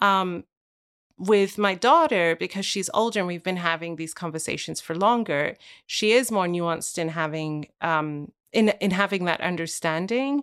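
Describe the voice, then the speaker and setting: A plain, everyday voice moves at a moderate pace with ordinary pitch variation, on a very clean recording with a silent background. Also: woman, fairly low pitch for a woman. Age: 30s. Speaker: author and podcast host. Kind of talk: interview conversation.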